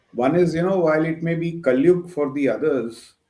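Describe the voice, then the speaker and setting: A man's fairly high voice at a moderate pace, with ordinary pitch variation and audible room echo. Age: 60s. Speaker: retired army general. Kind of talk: panel discussion. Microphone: too quiet at first.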